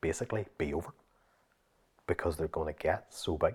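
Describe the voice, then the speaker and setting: On a very clean recording with a silent background, a man with a Northern Irish accent talks at a fairly quick pace. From Northern Ireland. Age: 40s. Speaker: fitness coach. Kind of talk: interview.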